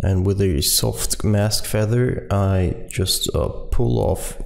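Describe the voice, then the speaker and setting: There is audible room echo around this voice. A man speaks at a very slow pace. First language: German. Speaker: software tutorial maker. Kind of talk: tutorial. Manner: hesitant, many fillers.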